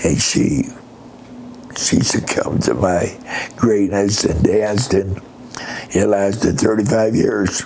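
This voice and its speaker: Over noticeable background noise, a man with an American accent speaks very slowly at a fairly low pitch, with ordinary pitch variation, very even loudness and long, frequent pauses. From Pennsylvania. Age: 70s. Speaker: retired army veteran. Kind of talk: interview answer.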